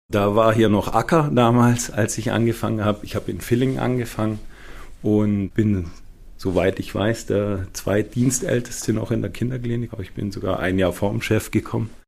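A man speaks at a moderate pace in a normal speaking voice. His pitch is fairly low, with ordinary variation. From Schwenningen, Baden-Württemberg. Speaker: senior pediatric physician. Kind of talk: interview.

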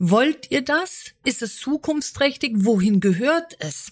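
The recording is very clean with a silent background. A woman speaks very slowly with lively intonation. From Berlin. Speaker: podcast host, business consultant. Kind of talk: interview.

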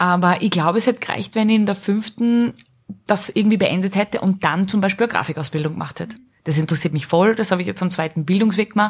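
The speaker is a woman whose voice has some breathiness. Her pitch moves in a normal way. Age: 30s. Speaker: small business owner. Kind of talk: casual interview. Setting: studio.

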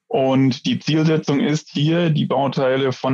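With an unremarkable speaking voice, a man talks fairly high in pitch, varying it in an ordinary way. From Franconia, Coburg. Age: 40s. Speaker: sales engineer. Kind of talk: technical interview. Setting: remote call via internet.

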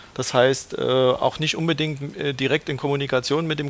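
Medium pitch from a male speaker, noticeable background noise behind him. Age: 40s. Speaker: credit brokerage manager. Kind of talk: casual interview.

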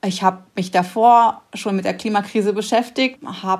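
The recording is very clean, and the background is silent. A woman talks at a fairly slow pace. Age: 40s. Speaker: climate activist and designer. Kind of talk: interview.

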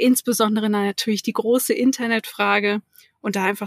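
With a plain, everyday voice, a woman talks at a moderate pace and medium pitch, her intonation fairly even and the sound dry and close with no echo. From Hamburg, northern Germany. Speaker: digital workplace consultant. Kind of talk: interview. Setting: remote call.

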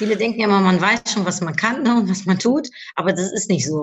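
A woman with a normal speaking voice at a fairly quick pace and ordinary pitch variation. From Germany, Cologne. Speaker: podcaster and life coach. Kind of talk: interview.

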